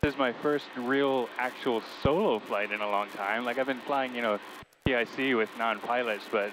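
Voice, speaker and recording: A man speaks at a moderate pace in a dry recording with no echo and noticeable background noise. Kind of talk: casual vlog chat. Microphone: headset.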